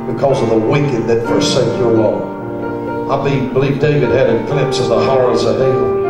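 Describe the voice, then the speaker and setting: Loud music plays in the background, with audible room echo. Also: man. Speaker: preacher. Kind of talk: sermon. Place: church.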